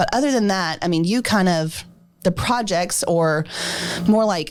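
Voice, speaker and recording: Music plays behind a woman with a fairly low pitch. Her tone is energetic and her intonation lively. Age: 30s. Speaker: nonprofit president and chamber events director. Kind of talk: casual interview chat.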